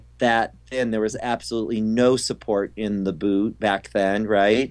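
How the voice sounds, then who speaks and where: Keeping a moderate pace, a man speaks with fairly even intonation. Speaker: figure skating coach. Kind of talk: interview. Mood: relaxed, reminiscing. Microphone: video call.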